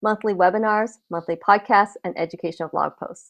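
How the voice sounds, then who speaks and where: Against a quiet background, a woman talks at a medium pitch and a fairly quick pace. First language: not English (immigrant family). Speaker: patient nonprofit program director. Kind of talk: scripted conference welcome address. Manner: formal.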